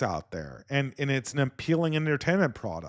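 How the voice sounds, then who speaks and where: A man with a Californian accent on a very clean recording against a silent background. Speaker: podcast host. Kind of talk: podcast commentary reading viewer donations. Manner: halting, many repeated words.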